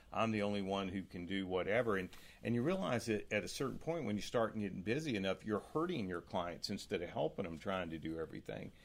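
This man has a North Carolina accent and a fairly low pitch. He talks at a fairly quick pace. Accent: US Southern (North Carolina). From North Carolina, small town. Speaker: real estate team owner. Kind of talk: casual interview.

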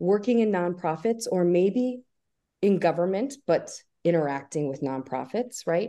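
With very wide pitch swings and a dark, mellow tone, a woman speaks at a moderate pace. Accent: American. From US Northeast, Albany area, New York. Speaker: professor. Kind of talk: interview.

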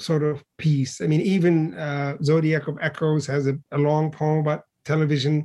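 Speaking at a moderate pace, a man with fairly high pitch has a dark, mellow tone. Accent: Arabic. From Libya, Benghazi. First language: Arabic. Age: 50s. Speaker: poet and professor. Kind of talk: interview. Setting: video call.

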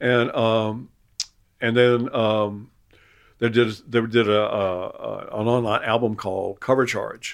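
Someone in a North Carolina accent speaks very slowly with a monotone, flat intonation. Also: man, medium pitch for a man. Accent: US Southern (North Carolina). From Eastern North Carolina coast. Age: 70s. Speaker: retired chef and cookbook author. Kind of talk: casual interview conversation. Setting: at home in his house. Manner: halting, many repetitions and fillers.

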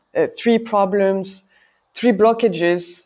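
Dark, mellow speech from a woman with a French accent, at a moderate pace with ordinary pitch variation and a quiet background. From France. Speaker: podcast host, party committee member. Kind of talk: interview. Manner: halting.

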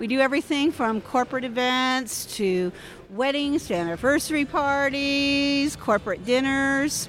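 Over background music, a woman with an American accent speaks at a fairly slow pace. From US West Coast, East Bay California. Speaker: banquet captain. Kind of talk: casual interview. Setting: hotel atrium.

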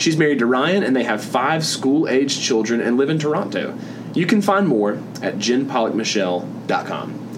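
Man with a Southern US accent, lively intonation and a moderate pace, noticeable background noise behind him. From US South. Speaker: podcast host. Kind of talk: interview. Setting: at a conference.

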